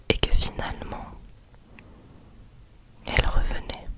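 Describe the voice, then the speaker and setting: A woman whispers in a calm tone. Noticeable background noise sits behind her. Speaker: ASMR creator. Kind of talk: ASMR reassurance talk. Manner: whispered, soft, calm, slow.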